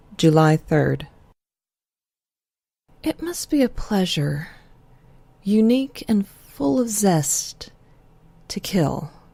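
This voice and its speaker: A woman speaks at a very slow pace with long, frequent pauses, her somewhat breathy voice dark and mellow in tone and marked by very wide pitch swings. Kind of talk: audiobook reading of a classic horror story.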